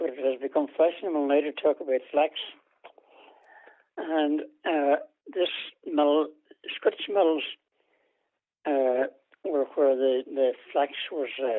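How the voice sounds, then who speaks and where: A man with a Donegal accent and fairly high pitch speaks at a very slow pace with fairly even intonation and long, frequent pauses. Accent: Ulster Irish (Donegal). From Ireland, East Donegal. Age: 80s+. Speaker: interviewee, elderly farmer's son. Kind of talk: oral history interview. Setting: phone call. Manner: hesitant, many fillers.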